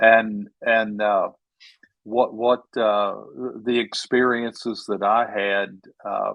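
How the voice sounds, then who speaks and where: Very slow, with long, frequent pauses, a man speaks at a medium pitch in monotone, flat intonation. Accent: American. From Texas. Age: 70s. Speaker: author. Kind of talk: interview.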